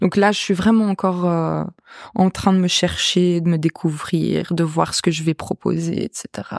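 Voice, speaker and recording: At a fairly slow pace, a woman talks with fairly even intonation, the sound dry and close with no echo on a very clean recording with a silent background. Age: 20s. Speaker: singer. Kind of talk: casual chat.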